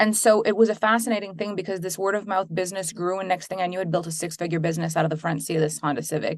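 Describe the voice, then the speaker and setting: Very fast and with hardly any pauses, a woman speaks in a Quebec accent at medium pitch with fairly even intonation. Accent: French Canadian accent in English. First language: French. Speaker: business coach and entrepreneur. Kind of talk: interview.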